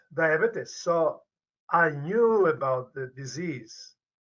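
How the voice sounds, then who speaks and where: A man speaks with a Polish accent. His tone is bright and sharp. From Poland. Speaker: medical researcher, professor. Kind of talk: interview. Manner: halting, repetitive stumbles.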